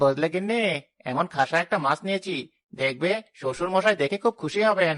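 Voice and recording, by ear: Speaking in a cartoonish character voice, the speaker uses a middle pitch at a moderate pace.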